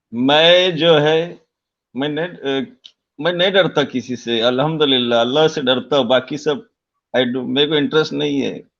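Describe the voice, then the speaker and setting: The speaker uses a normal speaking voice, and the pitch varies in an ordinary way. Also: man, fairly high pitch for a man. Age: 60s. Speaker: live-stream caller, retired Gulf worker. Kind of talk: casual chat.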